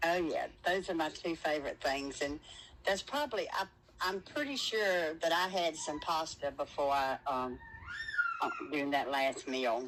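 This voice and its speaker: A woman speaks at a moderate pace with very even loudness and fairly low pitch. Her pitch varies in an ordinary way, and it is an unremarkable speaking voice. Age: 60s. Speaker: surgery patient. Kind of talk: interview.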